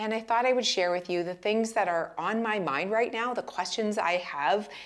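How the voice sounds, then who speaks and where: A woman's animated voice at a medium pitch, moderate pace and ordinary pitch variation. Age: 50s. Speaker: lifestyle vlogger. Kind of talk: casual chat.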